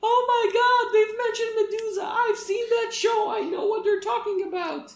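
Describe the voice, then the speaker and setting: Squeaky and extremely high, this put-on character voice moves at a moderate pace with a slight echo. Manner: excited, gushing.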